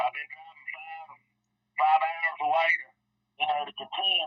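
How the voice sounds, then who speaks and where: A man with a Southern US accent at a moderate pace. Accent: real Southern. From Virginia. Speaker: kayak angler. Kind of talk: casual chat.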